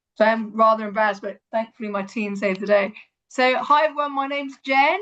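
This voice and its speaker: A woman talks at a very fast pace. She has an English accent. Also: fairly high pitch for a woman, ordinary pitch variation. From Hong Kong, then England. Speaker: environmental educator. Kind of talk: online presentation. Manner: hesitant, many fillers.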